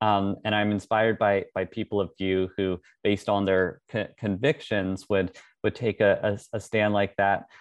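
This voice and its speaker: This man speaks at a moderate pace in a fairly low pitch. His intonation is monotone and flat, and his loudness stays very even. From Russia then Canada. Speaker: painter. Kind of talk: interview. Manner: halting, many fillers.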